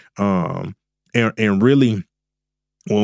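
Recorded very cleanly with a silent background and a dry, close sound, a man with a Southern US accent speaks at a moderate pace. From US South. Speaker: trading and crypto educator. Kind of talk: casual interview. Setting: studio.

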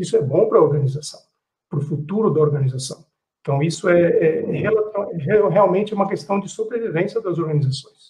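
A man's voice with a high pitch. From Brazil. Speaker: business executive. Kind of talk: panel discussion. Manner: halting.

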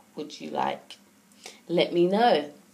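A woman's fairly low voice with ordinary pitch variation, over noticeable background noise. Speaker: gaming podcaster. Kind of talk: casual solo podcast monologue. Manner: hesitant, many fillers.

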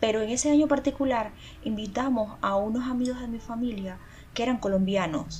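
Fairly high-pitched female speech in a plain, everyday voice, moderate in pace, with ordinary pitch variation. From Venezuela. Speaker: podcast co-host. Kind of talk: casual chat.

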